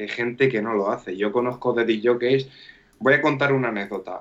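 In a La Mancha accent, a man talks at medium pitch with fairly even intonation. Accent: Manchego Spanish. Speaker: DJ. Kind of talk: casual chat. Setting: live stream.

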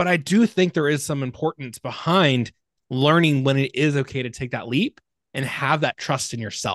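Recorded dry and close with no echo over a quiet background, a man with a normal speaking voice and a fairly high pitch talks at a moderate pace with ordinary pitch variation. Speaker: podcast host. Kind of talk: podcast interview. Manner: casual, upbeat.

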